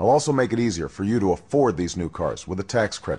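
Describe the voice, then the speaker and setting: With an American accent, a man speaks at a fairly low pitch in a dark, mellow tone. His intonation is lively and his pace fairly quick. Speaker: presidential candidate. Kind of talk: political campaign speech.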